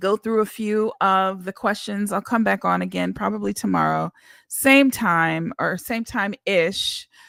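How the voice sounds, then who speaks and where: A woman speaks at a fairly slow pace on a very clean recording with a silent background and a dry, close sound with no echo. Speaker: independent singer. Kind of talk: casual livestream monologue. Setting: livestream.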